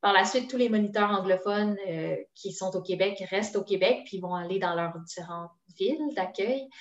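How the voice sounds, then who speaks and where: Her voice is an unremarkable speaking voice, as a woman talks at a moderate pace with medium pitch and ordinary pitch variation. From Quebec, Sherbrooke. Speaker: language program promotion officer. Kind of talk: casual interview.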